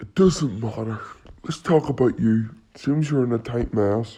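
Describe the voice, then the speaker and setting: A man's put-on character voice at medium pitch, with ordinary pitch variation and a moderate pace. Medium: short film. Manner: casual, friendly on the surface.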